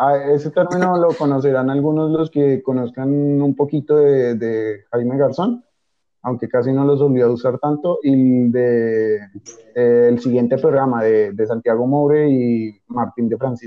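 Fairly slow and with fairly even intonation, a man speaks at medium pitch in an ordinary speaking voice. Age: young. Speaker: university student. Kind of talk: casual chat.

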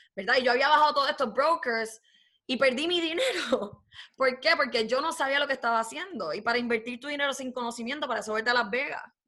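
Raising and projecting her voice, a woman speaks at a very fast pace in a high, bright, sharp tone. Her pitch variation is ordinary. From Puerto Rico. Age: 20s. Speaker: forex trader and recent graduate. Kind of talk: casual interview.

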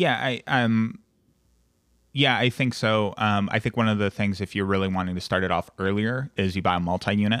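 An ordinary speaking voice from a man, fairly low in pitch with ordinary pitch variation, a moderate pace and very even loudness, on a very clean recording with a silent background and a dry, close sound with no echo. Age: 20s. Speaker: insurance agent and business owner. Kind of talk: casual interview chat.

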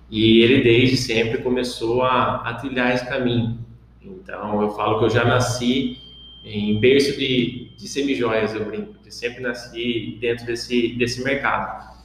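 Noticeable background noise and audible room echo surround this recording. A man speaks at a fairly slow pace, with medium pitch and fairly even intonation. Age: 20s. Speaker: business founder. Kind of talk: podcast monologue. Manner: casual with filler words.

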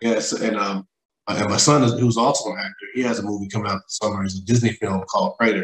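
With an American accent, a man speaks at a very fast pace, keeping his medium pitch under fairly even intonation. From West Texas. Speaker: music artist and producer. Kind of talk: casual interview. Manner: halting.

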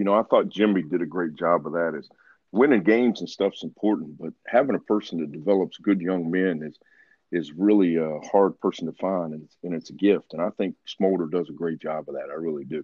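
Speaking with a West Virginia accent, a man talks at a fairly quick pace in a very deep, low pitch with ordinary pitch variation and big swings in loudness. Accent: Appalachian West Virginia. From West Virginia, Ripley. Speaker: former pro football player and coach. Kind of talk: interview.

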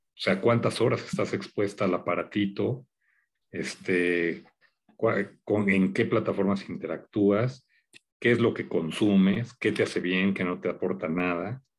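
A man at a fairly slow pace with ordinary pitch variation, on a very clean recording with a silent background. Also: fairly low pitch for a man. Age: 50s. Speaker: media executive and TV producer. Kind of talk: interview conversation.

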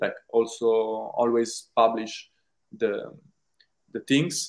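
Medium-pitched and monotone, a man's voice stays flat. He talks at a fairly slow pace. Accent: Italian. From Italy. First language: Italian. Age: 20s. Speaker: film director. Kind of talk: interview. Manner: halting.

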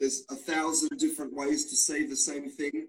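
A man with an Australian accent and very wide pitch swings. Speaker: English teacher. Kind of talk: casual interview. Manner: halting, repeats words.

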